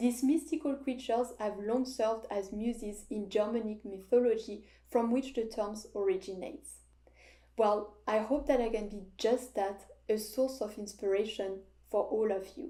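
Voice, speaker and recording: With a French accent, the speaker's dark, mellow tone moves at a moderate pace with ordinary pitch variation. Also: woman, fairly high pitch for a woman. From France, French Alps. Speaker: hydroponics hobbyist and video creator. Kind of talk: scripted narration.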